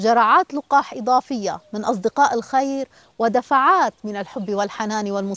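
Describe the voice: Ordinary pitch variation runs through the voice. It is plain reading aloud.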